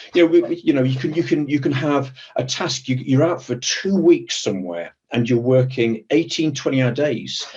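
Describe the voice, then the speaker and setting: Hardly pausing, a man speaks at a moderate pace in a medium pitch with ordinary pitch variation. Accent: British. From Britain. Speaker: executive protection professional. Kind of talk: webinar interview. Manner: hesitant, repeats words.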